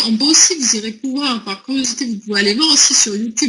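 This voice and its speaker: Pitched fairly high, a woman talks at a fairly quick pace. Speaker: product presenter. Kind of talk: sales presentation.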